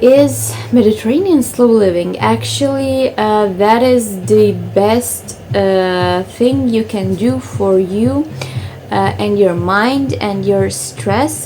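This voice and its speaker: A woman with a Croatian accent speaks at a very slow pace. Audible room echo and noticeable background noise surround her. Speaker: lifestyle vlogger. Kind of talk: casual vlog talk to camera. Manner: hesitant, many fillers.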